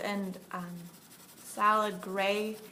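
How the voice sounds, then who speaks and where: A woman is speaking with fairly even intonation. Some room echo can be heard. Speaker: art teacher. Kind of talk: tutorial.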